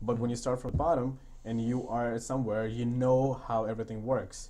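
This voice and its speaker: Amid audible room echo, a man talks at a fairly quick pace in a medium pitch, his dark, mellow tone delivered with monotone, flat intonation. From India. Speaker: construction company founder. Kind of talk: podcast interview.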